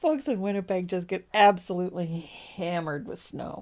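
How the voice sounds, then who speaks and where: At a fairly slow pace, a woman speaks with a slight East Coast Canadian accent, her medium-pitched voice carrying a dark, mellow tone. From East Coast of Canada. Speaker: painting instructor. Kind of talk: tutorial. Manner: casual, chatty.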